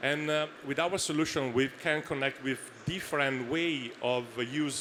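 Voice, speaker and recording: Speaking with an Italian accent, a man keeps his intonation fairly even. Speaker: startup founder. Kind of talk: Q&A after a pitch. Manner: halting, many fillers.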